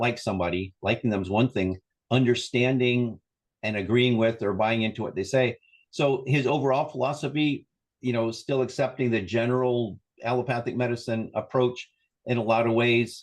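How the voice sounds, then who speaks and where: A man speaks in a plain, everyday voice at medium pitch with fairly even intonation. His pace is moderate. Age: 60s. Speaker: wellness coach and therapist. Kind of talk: interview conversation.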